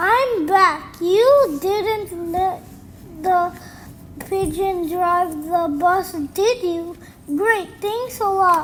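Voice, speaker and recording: Using a put-on character voice, a woman speaks very slowly at an extremely high pitch over clear background noise. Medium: read story.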